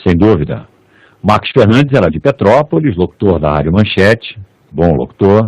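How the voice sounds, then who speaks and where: At a moderate pace, a man with a fairly low pitch makes very wide pitch swings in a dry, close sound with no echo. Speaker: radio and TV announcer. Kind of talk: interview answer.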